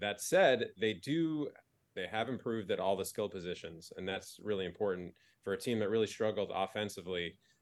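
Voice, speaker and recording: An ordinary speaking voice proceeds at a moderate pace with ordinary pitch variation. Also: man. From New Jersey. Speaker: sports fan guest. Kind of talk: casual chat.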